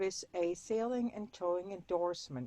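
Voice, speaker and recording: With a German accent, a woman speaks at a moderate pace and ordinary pitch variation. The sound is dry and close, with no echo. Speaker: sailor and weather router. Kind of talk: presentation.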